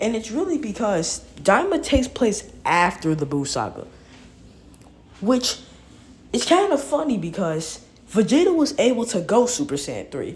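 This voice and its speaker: A woman speaks with a fairly high pitch, very wide pitch swings and vocal fry. Long, frequent pauses break up her speech. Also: moderate pace. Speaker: gaming youtuber. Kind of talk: casual commentary video. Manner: stuttering, hesitant.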